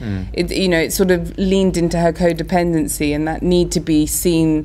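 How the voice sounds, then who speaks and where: A woman speaks at a moderate pace in a normal speaking voice. Her pitch is fairly low. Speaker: actor guest. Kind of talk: interview answer. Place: hall. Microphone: phone near.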